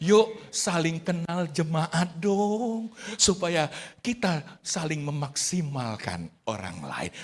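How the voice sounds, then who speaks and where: An animated, high-pitched male voice with very wide pitch swings. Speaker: pastor. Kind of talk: sermon. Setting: church. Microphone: good audio today.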